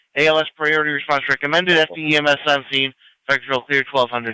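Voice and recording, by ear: Fast and fairly high-pitched, a man speaks with little pitch movement in a bright, sharp, yet clear and smooth tone.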